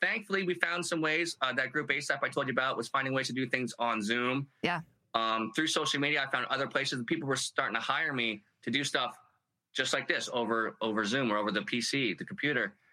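Speaking in a normal speaking voice, a man at a medium pitch keeps his loudness very even, with ordinary pitch variation and a fairly quick pace. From Canada, Halifax, Nova Scotia. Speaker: army veteran and comedian. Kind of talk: casual chat.

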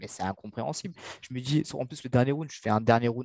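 Recorded with a dry, close sound and no echo, a man speaks at a medium pitch in a dark, mellow tone with ordinary pitch variation. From Mauritius. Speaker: boxer. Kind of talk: interview. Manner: halting.

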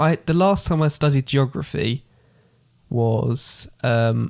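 Speaking at a fairly slow pace, a man with an English accent uses a medium pitch and ordinary pitch variation. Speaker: podcast host. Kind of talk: casual chat.

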